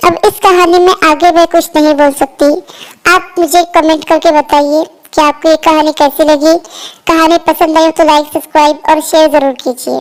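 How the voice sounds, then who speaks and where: A woman speaks at a moderate pace with an extremely high pitch. Her intonation is monotone and flat, and her loudness stays very even. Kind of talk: emotional moral storytelling. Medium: read story. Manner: earnest, gently dramatic.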